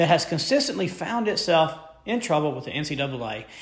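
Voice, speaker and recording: In an American accent, a man with a fairly high pitch speaks at a moderate pace in an animated tone with very wide pitch swings, and audible room echo surrounds him. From Memphis, Tennessee (US South). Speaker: sports podcast host. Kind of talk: solo sports commentary podcast.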